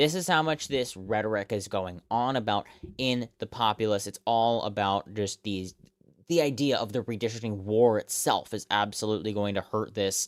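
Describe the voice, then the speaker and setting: On a very clean recording with a silent background and a dry, close sound with no echo, a man has a normal speaking voice, fairly low in pitch with ordinary pitch variation. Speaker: election results streamer. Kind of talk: live analysis of election results. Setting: live stream.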